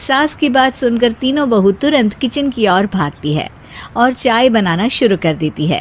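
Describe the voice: A woman with a fairly high pitch talks at a fairly slow pace. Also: ordinary pitch variation.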